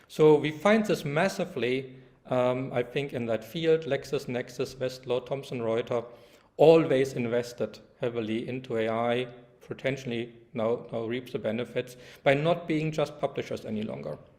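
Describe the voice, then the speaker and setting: A German accent with ordinary pitch variation. The pace is moderate. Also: man, medium pitch for a man. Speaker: law professor. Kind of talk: lecture. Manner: halting, many fillers.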